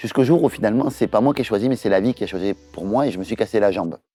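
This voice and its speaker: A very fast man with a Toulouse accent, dry and close with no echo, over music in the background. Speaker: entrepreneur and business trainer. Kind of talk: promotional launch video. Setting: in front of a camera. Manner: hesitant, many filler sounds.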